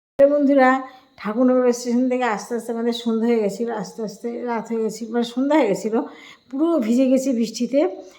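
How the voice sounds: A woman with a dark, mellow tone and a fairly high pitch speaks at a very fast pace with few pauses and fairly even intonation, with audible room echo around her.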